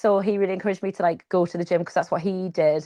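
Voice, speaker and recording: Very fast Geordie accent from a woman at medium pitch, dry, close sound with no echo, quiet background. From northern England, Newcastle. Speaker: triathlete. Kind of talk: interview conversation. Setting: live podcast with small audience.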